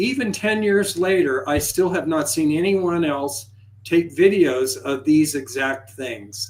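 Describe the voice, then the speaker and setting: At a fairly slow pace, a man speaks at a fairly high pitch with very wide pitch swings. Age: 70s. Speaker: UFO videographer. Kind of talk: live show interview.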